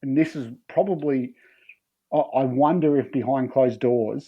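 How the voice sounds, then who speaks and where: Speaking at a moderate pace, a man has an Australian accent. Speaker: football analyst. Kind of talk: casual chat. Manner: animated.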